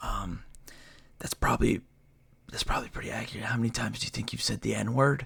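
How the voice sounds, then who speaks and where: Someone whispers at a very fast pace, broken by long, frequent pauses. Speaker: streamer. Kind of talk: casual livestream chat.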